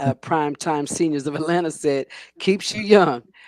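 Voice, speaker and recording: In a very deep, low pitch, a woman with an American accent speaks at a moderate pace with ordinary pitch variation, the sound dry and close with no echo. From New Jersey. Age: 60s. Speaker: sports talk show host. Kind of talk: casual interview. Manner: animated.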